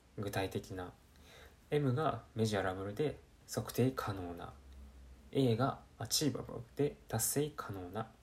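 With long, frequent pauses, a man of medium pitch speaks at a fairly slow pace in a somewhat breathy voice with lively intonation. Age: 20s. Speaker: podcast host. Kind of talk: solo self-improvement talk. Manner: casual, many fillers.

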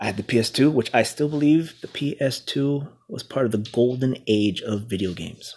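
Moderate pace from a man at medium pitch, ordinary pitch variation and hardly any pauses. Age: 30s. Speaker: podcast host. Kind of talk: solo casual monologue. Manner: halting.

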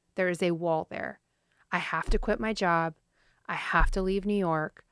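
A woman with an American accent has a plain, everyday voice, fairly low in pitch and fairly even in intonation. The sound is dry and close with no echo, over a quiet background. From small-town Texas. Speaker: food entrepreneur. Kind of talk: interview conversation.

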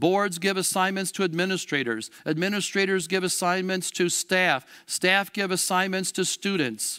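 A man projects a raised voice at a high pitch with a bright, sharp tone. He keeps a moderate pace with hardly any pauses. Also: ordinary pitch variation, very even loudness, very clean recording, silent background. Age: 60s. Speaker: Lutheran school educator preaching. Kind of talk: sermon. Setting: church.

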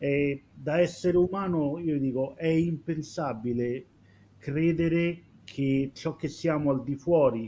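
Fairly high-pitched with fairly even intonation, a man talks in a plain, everyday voice. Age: 40s. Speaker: former receptionist, hotel professional. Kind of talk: live-streamed panel discussion.

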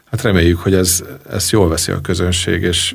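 A man's very deep, low voice, somewhat breathy, with monotone, flat intonation. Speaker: club founder and owner. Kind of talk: radio interview. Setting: studio. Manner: halting, many fillers.

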